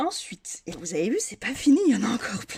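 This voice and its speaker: Her somewhat breathy voice has a dark, mellow tone, and the woman's pitch swings very widely. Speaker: craft youtuber. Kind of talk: product unboxing haul. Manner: hesitant, many fillers.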